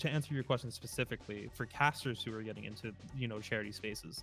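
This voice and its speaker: Music plays in the background as a man with an American accent talks at a very fast pace in a medium pitch, with ordinary pitch variation and hardly any pauses. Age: 20s. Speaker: volunteer esports caster and college esports head coach. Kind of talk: interview answer. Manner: fast-talking, upbeat, hype.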